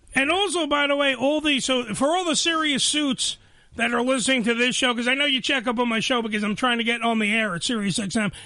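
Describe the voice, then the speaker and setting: A man with an extremely high pitch speaks very fast in a raised, projected voice, his tone excited and enthusiastic. His loudness stays very even, his pitch variation is ordinary, and noticeable background noise is present. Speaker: podcast host. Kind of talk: podcast interview. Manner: excited, enthusiastic.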